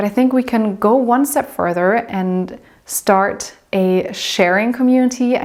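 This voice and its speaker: A woman speaks with a German accent at a fairly slow pace. Her pitch is fairly high, with ordinary pitch variation. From southern Germany. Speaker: lifestyle vlogger. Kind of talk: vlog talk to camera.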